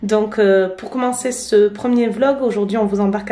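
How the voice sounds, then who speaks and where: Someone talks at a fairly quick clip with fairly even intonation, over noticeable background noise and audible room echo. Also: woman. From France, Basque Coast (Biarritz). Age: 30s. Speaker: vlogger. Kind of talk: casual vlog narration. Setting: restaurant. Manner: hesitant, many fillers.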